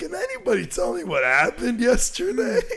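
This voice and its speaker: In a put-on character voice, a man talks high-pitched and fairly quickly, swinging very widely in pitch over clear background noise. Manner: confused.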